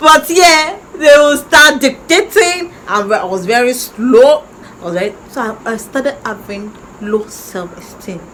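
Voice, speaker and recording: The speaker has a Nigerian accent and talks at a fairly slow pace with very wide pitch swings. Loudness swings widely, with noticeable background noise. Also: woman, high pitch for a woman. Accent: Nigerian (Yoruba) English. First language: Yoruba. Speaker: YouTuber. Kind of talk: personal story time. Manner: halting.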